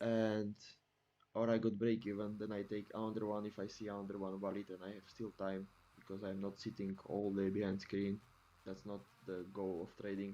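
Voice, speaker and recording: Speaking with a non-native accent, a man uses a fairly low, dark and mellow voice with monotone, flat intonation. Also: moderate pace. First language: not English. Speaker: futures trader. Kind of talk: screen-share tutorial. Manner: halting, with many fillers.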